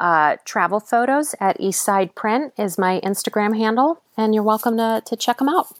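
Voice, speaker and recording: Talking at a fairly slow pace, a woman with a Midwestern American accent has a fairly high pitch. The sound is dry and close with no echo, in a very clean recording with a silent background. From Cleveland, Ohio. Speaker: teaching artist and filmmaker. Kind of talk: casual chat.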